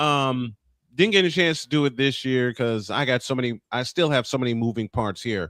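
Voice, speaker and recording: A man uses a normal speaking voice at a medium pitch. His pace is moderate, with ordinary pitch variation. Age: 50s. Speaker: morning show host. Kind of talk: casual chat.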